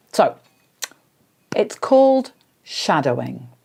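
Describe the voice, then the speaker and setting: Speaking at a very slow pace, a woman with a dark, mellow tone and vocal fry swings very widely in pitch. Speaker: English teacher. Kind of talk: tutorial. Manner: hesitant, many fillers.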